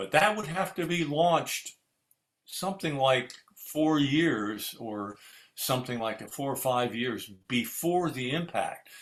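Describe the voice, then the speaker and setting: Speaking at a very slow pace, this man has an American accent. His pitch is fairly high. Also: lively intonation. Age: 80s+. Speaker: retired astronaut. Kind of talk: interview answer.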